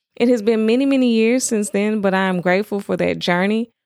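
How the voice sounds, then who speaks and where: In a Southern US accent, a woman talks at a fairly quick pace with ordinary pitch variation, on a very clean recording with a silent background. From US South. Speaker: podcast host. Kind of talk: personal testimony monologue.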